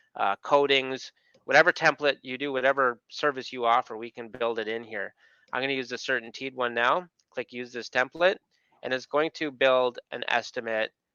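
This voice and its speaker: An ordinary speaking voice: a man with a Canadian accent, medium pitch, fairly even intonation and a moderate pace. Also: big swings in loudness. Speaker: software product specialist. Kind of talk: webinar screen-share tutorial. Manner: casual, conversational with fillers.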